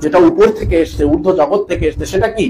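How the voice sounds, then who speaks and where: There is noticeable background noise behind a man with a high pitch. He speaks at a moderate pace with lively intonation. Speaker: Shia cleric acting as Bengali interpreter. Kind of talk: consecutive interpretation of a religious lecture.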